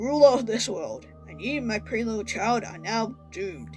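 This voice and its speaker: Against clear background music, a booming, put-on character voice speaks at a moderate pace. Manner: menacing, boastful.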